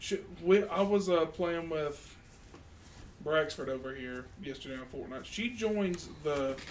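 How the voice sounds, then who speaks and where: With big swings in loudness and audible room echo, a man speaks at a fairly slow pace in a fairly high pitch, his pitch varying in an ordinary way. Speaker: podcast co-host. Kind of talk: casual chat. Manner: halting.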